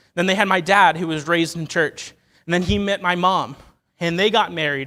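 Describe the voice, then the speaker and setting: A man with an American accent, high in pitch with ordinary pitch variation, and an animated, bright, sharp tone. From Ohio. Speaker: lay preacher. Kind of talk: sermon. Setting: church. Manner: fast.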